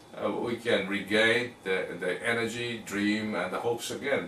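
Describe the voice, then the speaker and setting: The clip carries audible room echo, with noticeable background noise underneath. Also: man. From Japan. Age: 50s. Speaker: talk show host. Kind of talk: interview conversation. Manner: halting, with many fillers.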